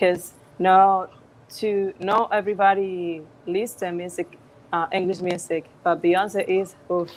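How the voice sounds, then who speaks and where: Very slow delivery in a flat monotone, with a Spanish accent. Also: woman, medium pitch for a woman. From Dominican Republic, Puerto Plata. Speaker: singer. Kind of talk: interview. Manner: halting.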